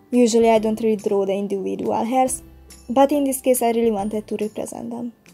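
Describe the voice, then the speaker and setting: Over music in the background, a woman talks at a very fast pace with a fairly high pitch and fairly even intonation. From Hungary. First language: Hungarian. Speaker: digital artist. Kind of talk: painting process voice-over.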